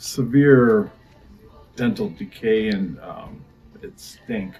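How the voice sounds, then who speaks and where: A man talks over music in the background. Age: 60s. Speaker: dental patient. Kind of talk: testimony. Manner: halting.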